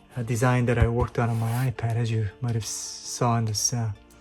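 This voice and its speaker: Music plays in the background. A man with a medium pitch talks at a fairly slow pace. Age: 50s. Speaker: amateur painter. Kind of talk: casual talk to camera. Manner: hesitant, many fillers.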